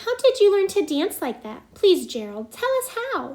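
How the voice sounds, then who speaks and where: Putting on a character voice, this woman sounds squeaky. Her pitch is extremely high, and her pace is moderate. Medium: read story.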